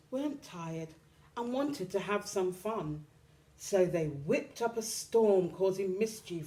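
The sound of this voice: The passage comes in an unforced reading voice.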